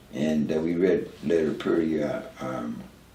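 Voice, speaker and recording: The speaker is a man. His voice carries an audible room echo. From Newark, New Jersey. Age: 70s. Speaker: recovering addict sharing his story. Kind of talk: interview testimony. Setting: at his home, filmed. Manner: halting, many fillers and repeats.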